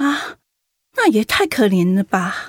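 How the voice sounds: In a put-on character voice, a woman speaks slowly at a medium pitch with big pitch swings and a slightly husky edge, the sound dry and close with no echo.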